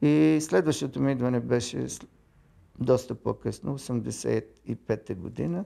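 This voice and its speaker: At a fairly slow pace, the voice carries a dark, mellow tone and lively intonation. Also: man, medium pitch for a man. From Bulgaria, Sofia. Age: 70s. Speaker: engineer and architect. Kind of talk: documentary interview. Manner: halting, with fillers.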